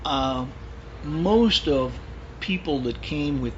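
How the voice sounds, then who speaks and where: Speech from a man, with audible echo in the room and noticeable background noise. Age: 70s. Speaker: old family friend. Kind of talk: casual chat.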